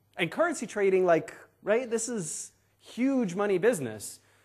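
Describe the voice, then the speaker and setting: A man at a moderate pace, with audible room echo. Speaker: SEO expert speaker. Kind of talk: conference talk. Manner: animated.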